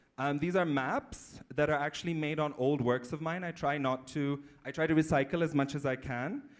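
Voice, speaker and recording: Hardly any pauses break this man's moderate pace. His pitch is fairly high, his intonation fairly even, and the recording very clean with a silent background. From Pakistan, Sindh province. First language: Sindhi. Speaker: embroidery artist. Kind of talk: conference talk. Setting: conference room with audience.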